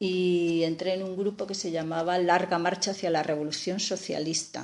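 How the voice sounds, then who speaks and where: Her pitch is fairly low and her pace moderate. A woman's intonation stays monotone and flat. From Spain, Aragon (Teruel province). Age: 60s. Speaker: physicist and historian of science. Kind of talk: interview.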